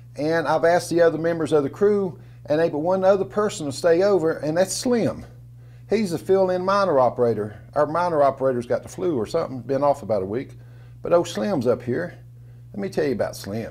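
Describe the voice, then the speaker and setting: A man with an American accent speaks fairly quickly, his pitch fairly high and his intonation lively. It is an ordinary speaking voice. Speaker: storyteller, former coal miner. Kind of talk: storytelling, casual personal narrative.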